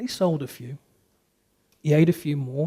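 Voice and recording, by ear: A man's fairly high voice with a dark, mellow tone, vocal fry and fairly even intonation.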